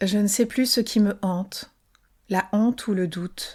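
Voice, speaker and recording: A soft-spoken woman talks in a medium pitch. The recording is very clean, with a silent background. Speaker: podcast author and narrator. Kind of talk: fiction audiobook reading, serialized novel. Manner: soft, intimate, murmured.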